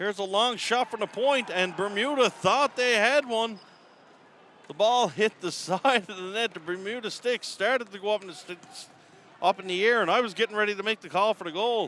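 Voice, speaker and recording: At a fairly quick pace, the speech has a bright, sharp tone, ordinary pitch variation, and a dry, close sound with no echo. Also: man, high pitch for a man. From Newfoundland, Canada. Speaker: sports play-by-play commentator. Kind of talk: live commentary. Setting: arena, top of the stands. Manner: animated.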